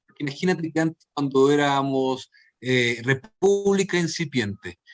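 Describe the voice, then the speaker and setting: Speaking with a Chilean accent, the man moves at a fairly slow pace with lively intonation. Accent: Chilean Spanish, persistent. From Chile (raised), born in Guayaquil, Ecuador. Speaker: theatre performer and playwright. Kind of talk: interview conversation. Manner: hesitant, many fillers and repetitions.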